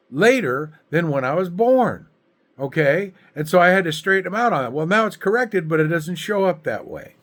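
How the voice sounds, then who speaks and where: A man with an American accent speaks at a high pitch with lively intonation. The recording is very clean, with a silent background. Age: 70s. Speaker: political commentator vlogger. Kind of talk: political rant to camera. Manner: animated; halting.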